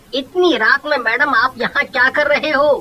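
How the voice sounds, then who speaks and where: A man puts on a character voice at an extremely high pitch, talking at a moderate pace. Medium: read story.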